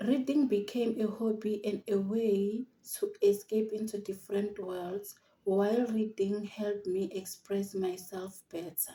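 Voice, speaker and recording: The speaker has a South African accent and a somewhat breathy voice. Delivery is fairly slow, with fairly even intonation. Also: woman, medium pitch for a woman. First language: Xitsonga. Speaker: university student. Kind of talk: prepared personal narrative.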